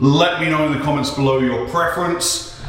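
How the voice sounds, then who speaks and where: In a room with audible echo, a man talks at a fairly quick pace with ordinary pitch variation. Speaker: scuba instructor building a dive locker. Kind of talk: casual vlog chat. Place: empty room. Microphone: phone near.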